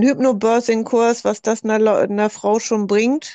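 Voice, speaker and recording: A woman's fairly high voice with a dark, mellow tone, at a moderate pace and fairly even intonation, over a quiet background. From northern Germany, Hamburg. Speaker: doula and psychotherapy practitioner. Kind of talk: group discussion.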